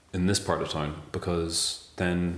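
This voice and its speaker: A man with a Northern Irish accent speaks at a very deep, low pitch, with audible room echo around him. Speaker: interviewee. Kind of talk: interview testimony.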